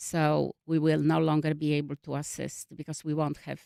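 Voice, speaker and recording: In a Polish accent, a woman speaks at a moderate pace with a very deep, low pitch. The recording is very clean with a silent background, and the sound is dry and close with no echo. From Poland. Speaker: refugee services worker. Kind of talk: radio interview. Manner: halting.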